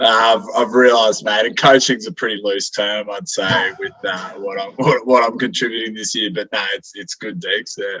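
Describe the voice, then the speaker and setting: Over noticeable background noise, a man speaks at a moderate pace with hardly any pauses. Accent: Australian. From Queensland, Brisbane. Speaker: amateur football coach. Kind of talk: casual podcast interview. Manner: halting, many fillers.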